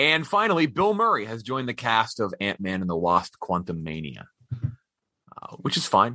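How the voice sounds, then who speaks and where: With an American accent, a man at a medium pitch talks at a moderate pace in a bright, sharp tone, his pitch swinging very widely. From Texas. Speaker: film podcast host. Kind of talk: casual movie review chat.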